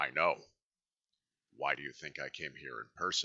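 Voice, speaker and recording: At a moderate pace, a man speaks in a raspy, put-on character voice. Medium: read story. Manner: haughty, commanding.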